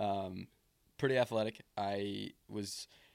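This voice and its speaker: A man with an unremarkable speaking voice, fairly low in pitch, with fairly even intonation, on a very clean recording with a silent background. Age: 20s. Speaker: podcast host. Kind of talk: casual chat.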